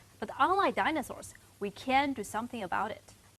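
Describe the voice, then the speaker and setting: A woman talks at a high pitch with very wide pitch swings. Her pace is moderate. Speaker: tech channel host. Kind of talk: scripted intro to camera.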